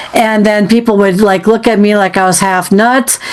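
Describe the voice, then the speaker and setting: At a moderate pace and medium pitch, a woman speaks with ordinary pitch variation against noticeable background noise. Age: 60s. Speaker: podcast host interviewing a psychic. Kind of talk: casual interview chat. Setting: podcast recording.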